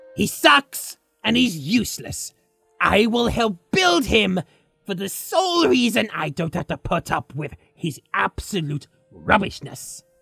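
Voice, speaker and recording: Faint music plays in the background as the speaker uses a put-on character voice with fairly high pitch at a fairly slow pace. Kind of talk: let's play game commentary in character. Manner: sarcastic, insulting.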